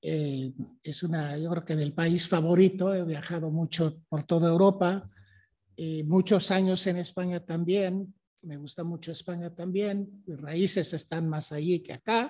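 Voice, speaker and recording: With a Mexican accent, this man talks at a fairly slow pace in a high pitch, using fairly even intonation and a dark, mellow tone. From Mexico City. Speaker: history professor. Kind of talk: lecture.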